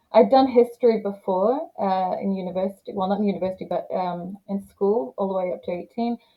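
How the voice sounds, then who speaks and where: A woman with an English accent, at a fairly quick pace. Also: medium pitch for a woman, ordinary pitch variation, hardly any pauses. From England, Leeds. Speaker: lawyer. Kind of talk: interview.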